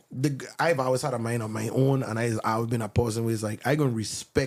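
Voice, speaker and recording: With a Virgin Islands accent, a man speaks at a fairly quick pace. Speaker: songwriter. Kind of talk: casual chat.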